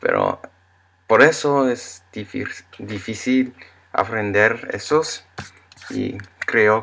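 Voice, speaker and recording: A man with an English accent speaks with long, frequent pauses. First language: English (speaking Spanish). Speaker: Spanish learner vlogger. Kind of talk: casual vlog monologue. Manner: slow; halting. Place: home room. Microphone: webcam.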